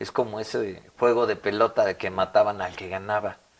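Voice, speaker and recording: Through noticeable background noise, a man speaks at a fairly low pitch and moderate pace with monotone, flat intonation. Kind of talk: interview.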